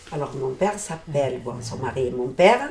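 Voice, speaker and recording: The delivery moves fairly slowly. Background noise is clearly audible. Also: woman. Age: 70s. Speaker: interviewee, translating for her mother. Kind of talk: interview testimony. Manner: halting.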